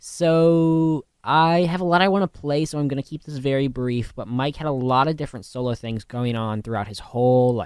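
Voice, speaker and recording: A man's plain, everyday voice at a moderate pace, with ordinary pitch variation over a quiet background. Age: 20s. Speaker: college radio DJ. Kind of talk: radio music show talk. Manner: casual, filler-heavy.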